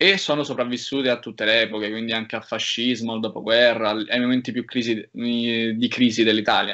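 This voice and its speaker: In a plain, everyday voice, a man delivers his words at a fairly quick pace. His intonation stays fairly even at a medium pitch. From Rome, Italy. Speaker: university student. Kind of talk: casual interview.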